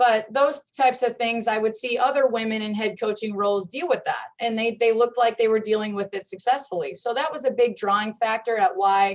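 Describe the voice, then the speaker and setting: A woman with an unremarkable speaking voice talks at a fairly quick pace and a fairly high pitch, with ordinary pitch variation and hardly any pauses. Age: 30s. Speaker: head coach. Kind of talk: panel discussion. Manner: many fillers and restarts.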